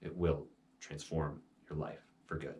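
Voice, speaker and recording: A man speaks with a very deep, low voice that is somewhat breathy. Audible room echo surrounds him. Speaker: meditation teacher. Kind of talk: instructional talk on meditation. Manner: slowed, meditative voice at times.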